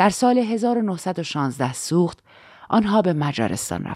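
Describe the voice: The reading aloud is plain, and its intonation moves in a lively way.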